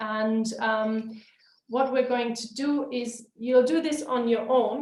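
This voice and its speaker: A woman's high voice at a very slow pace, fairly even in intonation, with audible room echo. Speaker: webinar trainer. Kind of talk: webinar lecture.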